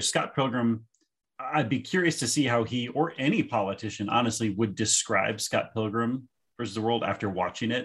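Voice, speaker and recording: An American-accented man with an ordinary speaking voice talks at a moderate pace, his medium pitch varying in an ordinary way. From Pennsylvania. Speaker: podcast co-host.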